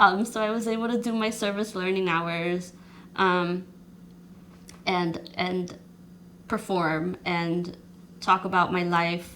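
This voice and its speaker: A woman speaks at a medium pitch with fairly even intonation. Audible room echo surrounds her voice. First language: not English. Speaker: social worker and poet. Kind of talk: interview. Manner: halting.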